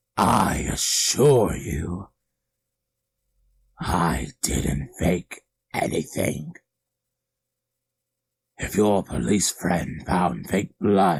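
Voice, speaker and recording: A man puts on a character voice, very deep and low in pitch. He speaks at a very slow pace with long, frequent pauses. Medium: read story. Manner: menacing, gloating.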